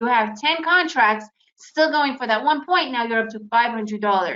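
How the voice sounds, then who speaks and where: An animated woman with an American accent speaks at a high pitch, her intonation lively. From United States. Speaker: day trader. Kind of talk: webinar presentation.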